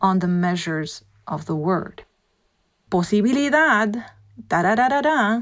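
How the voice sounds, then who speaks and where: A Spanish accent with very wide pitch swings and long, frequent pauses. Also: woman, medium pitch for a woman, moderate pace. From Puerto Rico. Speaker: voice and dialect coach. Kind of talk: interview.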